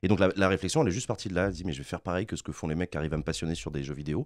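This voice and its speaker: A man's voice with vocal fry and ordinary pitch variation, dry with no echo, over a quiet background. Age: 30s. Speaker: political streamer. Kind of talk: interview. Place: studio. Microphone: studio mic.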